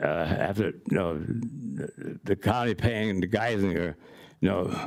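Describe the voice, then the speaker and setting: There is noticeable background noise in this clip. A man talks with a fairly low pitch and ordinary pitch variation. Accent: American. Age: 70s. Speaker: member of the public addressing a board. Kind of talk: public comment testimony. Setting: public board meeting. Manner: halting, repetitive.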